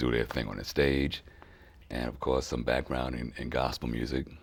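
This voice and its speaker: A man speaks with a very deep, low pitch and monotone, flat intonation. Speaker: soul singer and bandleader. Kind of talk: interview.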